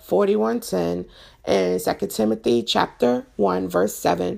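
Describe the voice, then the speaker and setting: A woman's fairly slow voice with very wide pitch swings and vocal fry, on a very clean recording with a silent background. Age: 40s. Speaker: podcast host. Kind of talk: personal monologue on faith and mental health.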